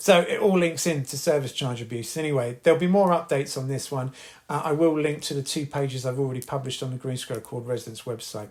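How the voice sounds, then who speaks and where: In a British accent, the somewhat breathy voice races at a very fast pace with hardly any pauses and ordinary pitch variation. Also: man, fairly high pitch for a man. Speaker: podcast host, housing resident campaigner. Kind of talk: casual monologue podcast. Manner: hesitant, many fillers and repeats.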